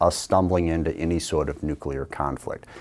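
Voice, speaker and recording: A man's dark, mellow tone at a fairly quick pace. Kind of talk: recorded address to camera. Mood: earnest, policy argument. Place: studio. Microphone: lapel.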